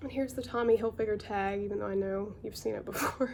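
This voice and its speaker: A woman speaks with an American accent. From North Carolina. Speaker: part-time clothing reseller. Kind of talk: casual talk to camera, thrift haul.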